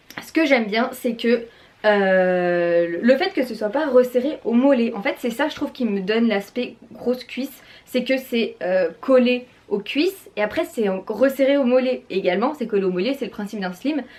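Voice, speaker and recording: A woman speaks in a high pitch with lively intonation. Her tone is animated, and her pace fairly slow. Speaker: fashion YouTuber. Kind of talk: haul and try-on vlog.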